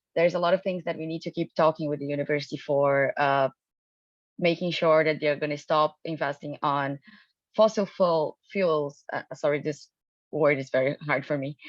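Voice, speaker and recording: Her pitch is very deep and low as this woman speaks at a moderate pace. She has a non-native accent and fairly even intonation. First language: not English. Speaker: student union election candidate. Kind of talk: candidate forum speech. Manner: halting, many fillers.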